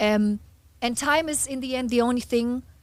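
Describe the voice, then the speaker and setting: The speaker has a German accent and keeps a moderate pace. The intonation is fairly even. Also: woman. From Germany. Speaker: hypnotist and motivational speaker. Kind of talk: podcast interview.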